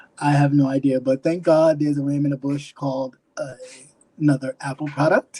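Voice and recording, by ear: A man talks with a fairly high pitch. There is little pitch movement. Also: moderate pace, slightly mellow tone.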